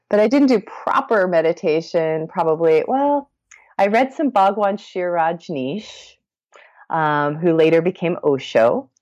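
The speaker has a Midwestern accent. The pitch swings very widely. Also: woman, medium pitch for a woman, quiet background. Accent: General American (Midwest). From US Midwest, Columbus, Ohio. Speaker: meditation podcast host and hypnotherapist. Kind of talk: casual interview chat.

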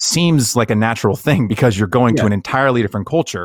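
A man with an unremarkable speaking voice talks at medium pitch with lively intonation. The recording is very clean and dry, close with no echo, over a silent background. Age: 30s. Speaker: podcast host. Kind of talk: casual interview chat.

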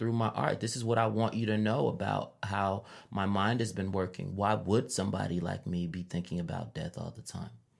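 Speaking with an American accent and vocal fry, the voice keeps a moderate pace with hardly any pauses and ordinary pitch variation, recorded very cleanly against a silent background. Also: man, fairly low pitch for a man. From Chicago, west side. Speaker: rapper and librarian. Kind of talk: interview.

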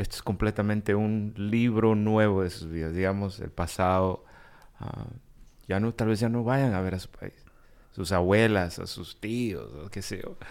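A man's fairly low voice, an ordinary speaking voice, with fairly even intonation, big swings in loudness and a fairly slow pace. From Guatemala, raised in the US. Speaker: podcast co-host. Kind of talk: interview.

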